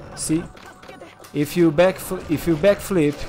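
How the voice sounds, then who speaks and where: Over noticeable background noise, a man with a Portuguese accent talks at a very slow pace. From Brazil. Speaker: gaming streamer. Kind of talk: tutorial. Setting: live stream. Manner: casual, with filler words.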